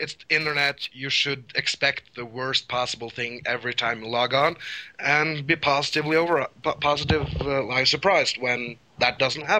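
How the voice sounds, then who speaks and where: A man with a Norwegian accent, fairly high pitch, ordinary pitch variation and a moderate pace, amid noticeable background noise. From Norway. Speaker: caller. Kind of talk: casual chat.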